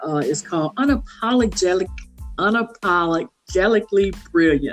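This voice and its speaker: Over music in the background, a woman with a Southern US accent talks at a moderate pace with lively intonation. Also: medium pitch for a woman. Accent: Southern American English. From south Louisiana, USA. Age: 60s. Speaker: consultant and author. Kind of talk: podcast interview answer.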